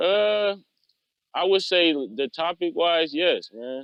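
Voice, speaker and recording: A man talks with an American accent. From San Jose, California (Bay Area). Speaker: rapper. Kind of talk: interview. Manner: casual, laid-back.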